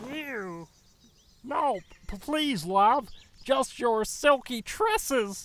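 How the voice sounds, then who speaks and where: A man uses a put-on character voice with an extremely high pitch. He speaks at a very slow pace with long, frequent pauses. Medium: read story. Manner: stammering, flustered.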